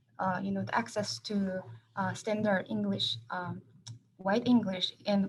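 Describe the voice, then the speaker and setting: A woman with a Korean accent speaks at a moderate pace. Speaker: professor. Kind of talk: panel discussion.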